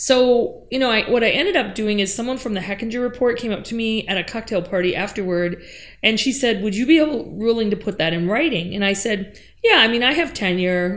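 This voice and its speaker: With an American accent, a woman in an unremarkable speaking voice talks at a fairly quick pace, her fairly high pitch carrying lively intonation. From Upper Peninsula of Michigan. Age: 50s. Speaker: professor. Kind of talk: interview. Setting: office.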